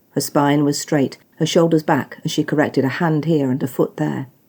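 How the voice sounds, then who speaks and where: A woman speaks at a moderate pace with a very deep, low pitch. Her intonation is fairly even. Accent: British. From British. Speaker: author. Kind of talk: audiobook story reading.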